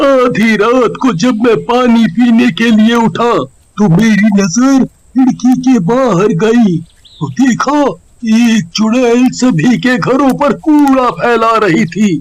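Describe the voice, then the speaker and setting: A man's cartoonish character voice, extremely high-pitched and very slow. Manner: earnest, urgent.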